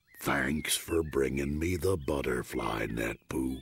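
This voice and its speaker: Putting on a character voice, a man speaks at a fairly slow pace in a very deep, low register. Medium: video game.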